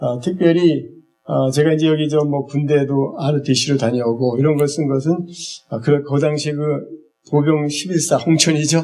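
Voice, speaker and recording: Over music in the background and with audible room echo, a man with a fairly high pitch talks at a moderate pace in fairly even intonation. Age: 60s. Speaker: eye health instructor, church minister. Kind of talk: lecture. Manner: halting, many fillers.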